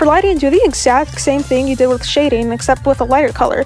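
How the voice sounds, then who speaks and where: Over music in the background, a woman talks at a very fast pace in an upbeat tone. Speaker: digital artist. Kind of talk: tutorial voice-over read from a script. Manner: casual, upbeat.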